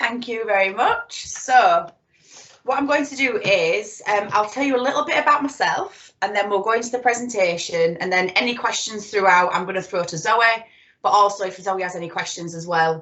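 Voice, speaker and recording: A woman with a Yorkshire accent speaks at a moderate pace, her fairly high pitch set off by lively intonation. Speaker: psychotherapist. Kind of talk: presentation.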